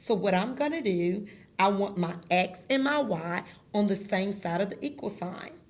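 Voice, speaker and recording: The speaker talks at a moderate pace with lively intonation and a somewhat breathy sound, and audible room echo can be heard. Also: woman, medium pitch for a woman. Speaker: math teacher. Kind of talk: tutorial.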